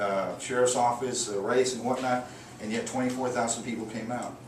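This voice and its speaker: Speaking very fast at a medium pitch, a man with an American accent keeps a fairly even intonation amid audible room echo and noticeable background noise. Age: 60s. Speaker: political candidate, prosecutor. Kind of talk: campaign speech. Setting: private home gathering. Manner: casual, conversational with fillers.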